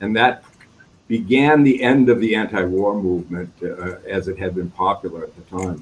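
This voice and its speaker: In an American accent, the speaker keeps a moderate pace with ordinary pitch variation and big swings in loudness. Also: man, fairly low pitch for a man. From Wisconsin, US Midwest. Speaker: war veteran. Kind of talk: q&a. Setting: video call. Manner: halting.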